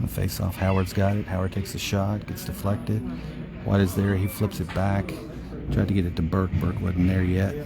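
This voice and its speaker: Music in the background behind fairly even intonation. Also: man, very deep, low pitch for a man, fairly quick pace. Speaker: parent doing amateur play-by-play. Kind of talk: live commentary. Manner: soft; fast-paced play-by-play.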